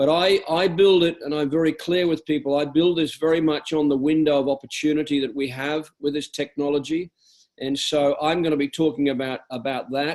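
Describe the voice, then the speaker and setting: A man with an Australian accent, fairly high pitch, fairly even intonation and a fairly quick pace. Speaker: network marketing business leader. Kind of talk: business training talk on a conference call.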